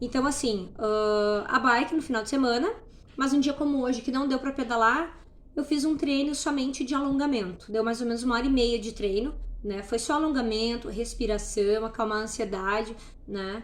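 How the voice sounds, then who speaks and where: The woman's voice sits high. Its rise and fall in pitch is ordinary. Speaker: natural products store owner sharing weight-loss journey. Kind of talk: casual vlog monologue. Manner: fast; barely pausing for breath.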